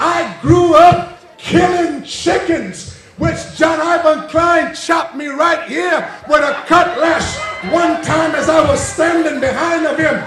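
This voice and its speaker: A loud man with an American accent speaks at an extremely high pitch with fairly even intonation, amid noticeable background noise and audible room echo. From British Virgin Islands (Cane Garden Bay, Tortola). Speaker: political candidate. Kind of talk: campaign rally speech. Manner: loud, rambunctious.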